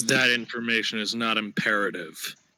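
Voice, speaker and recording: Using a put-on character voice, a man speaks at a moderate pace in a medium pitch with fairly even intonation. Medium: audio drama. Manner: curt, withholding.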